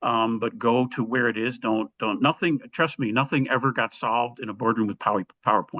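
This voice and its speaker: With an American accent, a man in an ordinary speaking voice talks at a fairly quick pace with hardly any pauses, medium pitch and fairly even intonation. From US Midwest, Chicago. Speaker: army veteran and business leader. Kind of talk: storytelling in a leadership interview.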